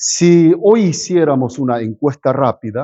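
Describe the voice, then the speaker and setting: A man at a very slow pace with lively intonation. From South Korea, moved to Argentina at 15. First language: Korean (speaking Spanish). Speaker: pastor. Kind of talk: sermon. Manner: halting, with fillers and self-corrections.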